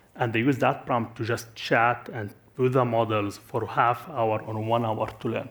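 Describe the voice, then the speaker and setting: Speaking at a fairly slow pace, a man keeps a flat monotone at a medium pitch. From Syria. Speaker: tech company executive. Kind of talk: conference panel Q&A. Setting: stage with audience. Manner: halting, many fillers and restarts.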